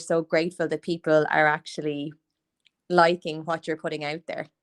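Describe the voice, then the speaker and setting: A woman with an Irish accent, monotone and flat in intonation, dry and close with no echo. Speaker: podcast host, small business owner. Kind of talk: casual interview chat. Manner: chatty, filler-heavy.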